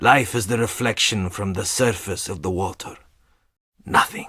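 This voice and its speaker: A man speaks in a put-on character voice. His pitch is fairly low. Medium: video game. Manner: cold, curt.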